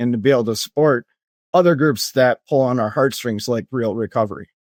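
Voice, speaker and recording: In a Minnesota accent, a man of medium pitch speaks at a fairly quick pace with ordinary pitch variation, the sound dry and close with no echo. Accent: Minnesota accent, noticeable. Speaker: company executive and Navy veteran. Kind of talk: interview.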